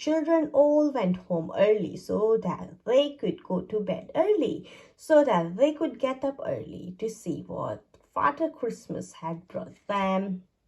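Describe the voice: A dark, mellow tone at a slow pace, with big pitch swings. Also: woman, fairly high pitch for a woman.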